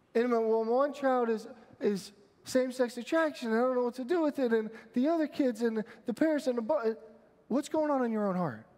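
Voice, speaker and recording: At a moderate pace, a man speaks in an extremely high pitch with ordinary pitch variation and an animated, warm tone. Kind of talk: homily to a conference audience. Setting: conference, live audience. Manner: animated, warm, conversational with humor; earnest, exhortative when preaching. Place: hall. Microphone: headset.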